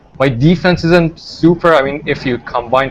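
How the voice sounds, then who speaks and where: Noticeable background noise sits behind the speech. The man's intonation stays fairly even. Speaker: online baseball league team manager. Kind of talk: casual interview. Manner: halting, many fillers.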